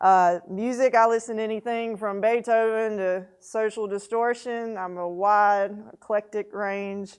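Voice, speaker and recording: A woman with a Southern US accent, fairly high pitch and monotone, flat intonation, with hardly any pauses, over a quiet background. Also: fairly slow pace. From Mississippi (Monticello/Natchez). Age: 40s. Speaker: newspaper editor and publisher. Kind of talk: mentor talk to students.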